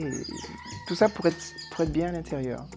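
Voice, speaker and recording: A man is speaking. Music plays in the background. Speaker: teacher and singer. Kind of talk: interview answer. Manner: hesitant, reflective.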